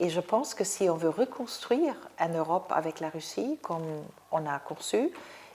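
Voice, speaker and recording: Her intonation lively, a woman with a German accent speaks at a fairly low pitch. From Germany (West). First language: German (speaking French). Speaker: political scientist. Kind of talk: interview. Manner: halting, many fillers.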